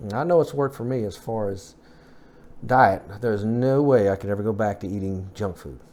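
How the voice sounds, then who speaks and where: Speaking at a fairly quick pace, a man with a fairly low pitch shows ordinary pitch variation and big swings in loudness. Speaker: fitness vlogger. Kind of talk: casual vlog update. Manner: fast; halting.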